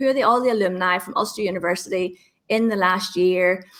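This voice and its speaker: A woman speaks with a Northern Irish accent. Her pitch varies in an ordinary way. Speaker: LinkedIn trainer. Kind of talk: interview. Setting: podcast.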